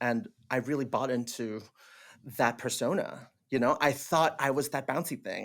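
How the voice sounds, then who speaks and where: With a Cantonese accent, a man talks at a moderate pace with a fairly high pitch and ordinary pitch variation on a very clean recording with a silent background. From Hong Kong. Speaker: theatre director, actor and teacher. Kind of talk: casual chat. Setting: podcast interview. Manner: animated; halting, many fillers.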